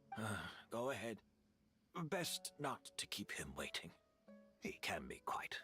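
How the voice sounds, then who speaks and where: Whispering in a put-on character voice, a man speaks at a fairly slow pace with long, frequent pauses over faint background music. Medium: video game. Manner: soft-spoken, resigned.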